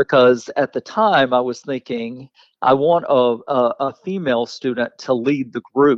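He speaks with an Alabama accent at a medium pitch. His pace is fairly slow, with ordinary pitch variation. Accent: US Southern (Alabama). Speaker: teacher and author. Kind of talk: interview.

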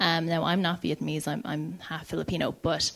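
Speaking with an Irish accent, a woman uses a fairly low pitch, fairly even intonation and a moderate pace. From Ireland, County Clare. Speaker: writer and director. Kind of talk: panel discussion.

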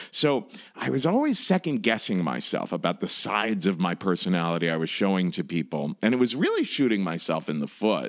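A man with an American accent speaks at a fairly quick pace with hardly any pauses. His fairly low pitch swings very widely. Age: 40s. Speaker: comedian and storytelling podcast host. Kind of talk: casual interview.

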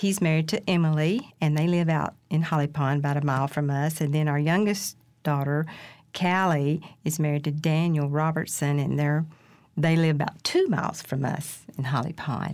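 A woman with an Alabama accent, very deep and low in pitch, at a moderate pace with fairly even intonation and very even loudness, in a very clean recording with a silent background. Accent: US Southern (Alabama). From Decatur, Alabama. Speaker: teacher. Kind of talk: casual interview.

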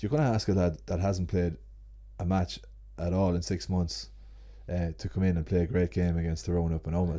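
In an Ulster accent, a man talks with a very deep, low pitch and a dark, mellow tone. His voice makes very wide pitch swings. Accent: Ulster Irish (Cavan). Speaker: sports journalist. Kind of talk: casual chat.

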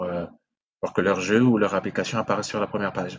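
This man has a fairly low pitch for a man and speaks at a fairly quick pace. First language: Sango (speaking French). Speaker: video game entrepreneur. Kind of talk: interview conversation.

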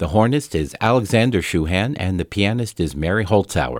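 Recorded very cleanly against a silent background, a man speaks in a normal speaking voice, fairly low in pitch, with lively intonation. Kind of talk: classical radio announcing. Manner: formal, polished, measured; clear, even, unhurried.

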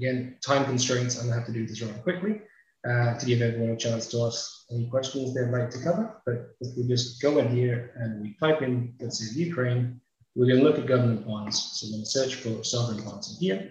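A man speaks at a fairly quick pace. His voice is somewhat breathy, with ordinary pitch variation. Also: medium pitch for a man. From UK. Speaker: webinar host, data company partnership manager. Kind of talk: software demo and moderation. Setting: video call webinar. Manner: quick, rushed demo.

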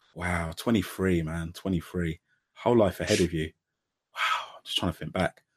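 A man speaks at a moderate pace in an animated tone, recorded very cleanly against a silent background. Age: 40s. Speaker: podcast host. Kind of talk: casual interview chat.

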